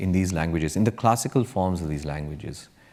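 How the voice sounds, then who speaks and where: Very deep and low in pitch, a man with a Kannada accent talks at a very fast pace with lively intonation. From India. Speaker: tech entrepreneur. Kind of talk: panel discussion. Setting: stage with audience. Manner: hesitant, with fillers.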